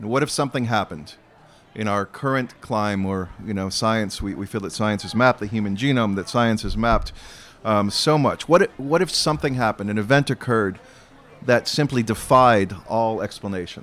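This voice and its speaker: This man has an ordinary speaking voice at medium pitch, an American accent, ordinary pitch variation and a fairly quick pace. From Arizona. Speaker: novelist. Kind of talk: onstage interview. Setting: outdoor festival stage with audience.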